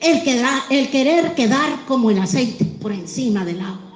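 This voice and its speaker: In a Mexican accent, a woman with a fairly high voice speaks at a very slow pace amid noticeable background noise and audible room echo. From Mexico. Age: 60s. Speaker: pastor. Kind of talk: sermon.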